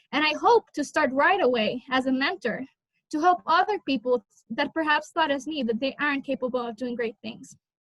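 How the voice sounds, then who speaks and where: At a moderate pace, a woman with a Spanish accent and a high pitch speaks in a dry, close sound with no echo. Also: ordinary pitch variation. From Honduras. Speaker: college student, scholarship recipient. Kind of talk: interview answer; prepared personal speech.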